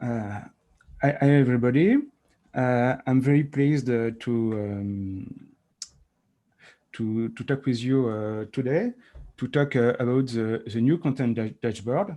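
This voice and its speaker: A man speaks at a fairly slow pace with long, frequent pauses. His medium pitch has ordinary variation and a dark, mellow tone. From France. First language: French. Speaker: software developer. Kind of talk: technical presentation. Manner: halting.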